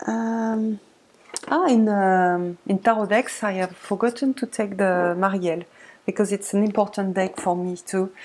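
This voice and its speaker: A woman with a French accent speaks at a fairly slow pace with fairly even intonation. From France. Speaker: tarot video creator. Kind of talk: casual tutorial-style show-and-tell. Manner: halting, many fillers. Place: home room. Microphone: webcam.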